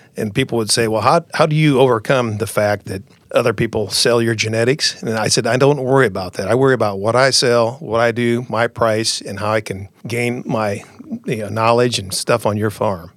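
Fairly quick speech from a man with a US Midwestern accent, medium pitch and ordinary pitch variation. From rural Iowa, US Midwest. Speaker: seed sales representative. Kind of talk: interview.

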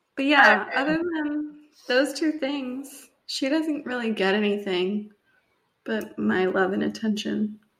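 A woman with a plain, everyday voice speaks at a fairly slow pace. Her pitch is fairly high and her intonation lively. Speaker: podcast co-host. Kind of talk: casual chat.

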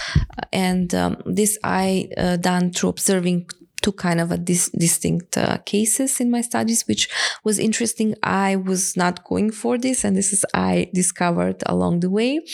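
With a Macedonian accent, a woman talks at a moderate pace and keeps her loudness very even. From North Macedonia, Skopje. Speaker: energy poverty researcher. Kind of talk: interview. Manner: halting.

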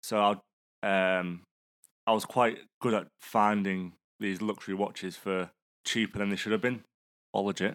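Here a man speaks with a fairly low pitch and monotone, flat intonation at a moderate pace. He leaves long, frequent pauses in a very clean recording with a silent background. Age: 20s. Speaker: podcast producer. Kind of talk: casual chat.

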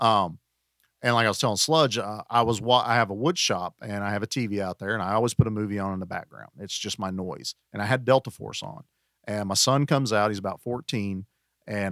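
With a Southern US accent, a man talks at a fairly low pitch and a fairly quick pace. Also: dry, close sound with no echo, very clean recording, silent background. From US South. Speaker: podcast guest. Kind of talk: casual chat.

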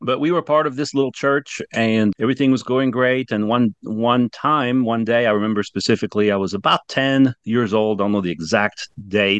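The speaker has a French accent and a moderate pace with hardly any pauses. The sound is dry and close, with no echo. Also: man, medium pitch for a man, ordinary pitch variation, quiet background. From France. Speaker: ministry founder and president. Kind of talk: casual interview chat.

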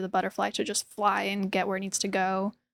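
Using vocal fry at a medium pitch, a woman speaks at a fairly quick pace with a dry, close sound with no echo. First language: Hebrew. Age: 20s. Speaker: printmaker and art teacher. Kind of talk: casual interview. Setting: artist studio.

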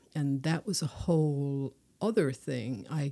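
In a Newfoundland accent, a woman speaks with a very deep, low pitch, a dark, mellow tone and ordinary pitch variation, in a dry, close sound with no echo on a very clean recording with a silent background. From Newfoundland, Placentia. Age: 60s. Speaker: poet. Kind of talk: casual chat.

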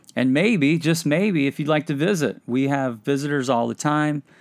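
The pace here is moderate. It is an ordinary speaking voice, and the pitch variation is ordinary. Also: man. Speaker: podcast host. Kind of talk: conversational interview.

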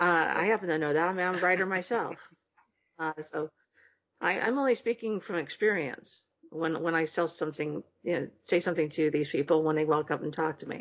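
A woman's normal speaking voice, fairly low in pitch, with ordinary pitch variation and a fairly quick pace. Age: 50s. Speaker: book publisher and writer. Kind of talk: casual chat.

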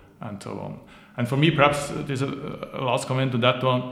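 A man speaking at a medium pitch is heard through audible room echo and noticeable background noise. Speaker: business founder and board advisor. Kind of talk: interview. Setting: office.

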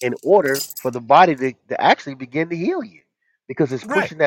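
A man talks at a fairly quick pace with lively intonation. The sound is dry and close, without echo. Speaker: herbal health show host. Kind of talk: casual health talk show. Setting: call-in audio stream. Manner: passionate, animated.

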